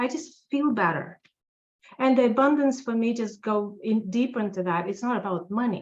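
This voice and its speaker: A somewhat breathy woman talks at a fairly high pitch and a moderate pace with a Russian accent and ordinary pitch variation. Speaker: tax accountant. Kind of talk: interview.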